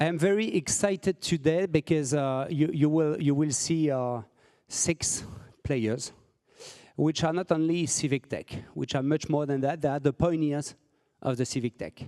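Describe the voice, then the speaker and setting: Recorded very cleanly against a silent background, a man with a French accent speaks in a dark, mellow tone with ordinary pitch variation and a dry, close sound with no echo. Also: fairly high pitch for a man, moderate pace. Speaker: civic tech founder and moderator. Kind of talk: conference presentation. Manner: halting, many fillers and repetitions.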